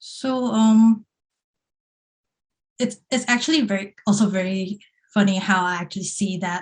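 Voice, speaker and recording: A woman talks at a medium pitch. Her voice is somewhat breathy. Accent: slight Singaporean. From Hong Kong, Happy Valley. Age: 20s. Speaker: multimedia producer, former journalist. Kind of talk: podcast interview.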